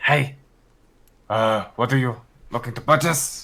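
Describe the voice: A man puts on a character voice with a strong non-native accent as part of the act. He speaks fairly slowly at a medium pitch. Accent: heavy foreign.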